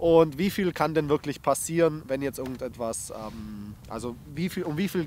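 Speaking at a moderate pace with few pauses, a man uses a medium pitch and ordinary pitch variation.

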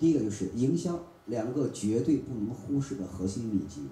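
A man's voice has a dark, mellow tone and is somewhat breathy. Room echo is audible. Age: 40s. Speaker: film producer and marketer; presenter. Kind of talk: forum talk. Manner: repeats words when speaking. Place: hall. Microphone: pa.

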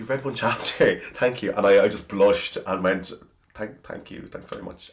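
A man with an Irish accent speaks at a very fast pace. There is light background noise. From Ireland, County Cavan. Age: 20s. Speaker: author. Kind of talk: interview answer. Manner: casual, chatty. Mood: warm, self-deprecating, animated. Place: home room.

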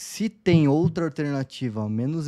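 A man's fairly high voice with lively intonation against a quiet background. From Foz do Iguaçu, Paraná, Brazil; Paraná, Brazil. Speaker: calisthenics coach. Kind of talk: casual interview. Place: home room. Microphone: studio mic.

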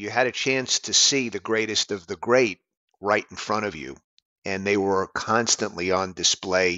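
A man speaks fairly slowly in a normal speaking voice, his fairly low pitch showing ordinary variation. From US, New York City. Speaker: jazz drummer and bandleader. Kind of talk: interview.

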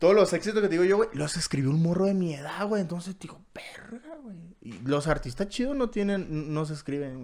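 Speaking at a fairly quick pace, a man with a high voice shows big swings in loudness. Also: lively intonation. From Mazatlán, Sinaloa, Mexico; Sinaloa, Mexico. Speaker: youtuber. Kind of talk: casual chat. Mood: relaxed, joking, slangy. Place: studio. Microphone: studio mic.

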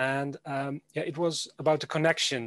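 A man with a Dutch accent speaks at a moderate pace with a fairly high pitch. The sound is dry with no echo, against a quiet background. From Netherlands. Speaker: educator. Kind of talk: conference presentation. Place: home room. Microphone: webcam.

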